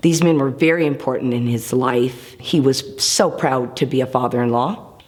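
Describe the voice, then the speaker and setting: An American-accented woman speaks at a moderate pace with a very deep, low pitch. Her pitch varies in an ordinary way, and background noise is noticeable. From Seattle, Washington. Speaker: hairstylist. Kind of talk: personal faith testimony.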